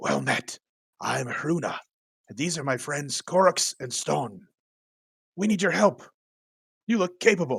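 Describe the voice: A raspy, put-on character voice moves at a fairly slow pace. Long, frequent pauses break it up. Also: man, fairly high pitch for a man.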